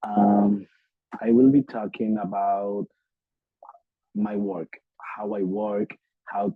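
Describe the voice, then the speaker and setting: A man talks at a very slow pace with long, frequent pauses, in a strong Dominican accent. His pitch is fairly low and his intonation is monotone and flat. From Dominican Republic. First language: Spanish. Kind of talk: lecture.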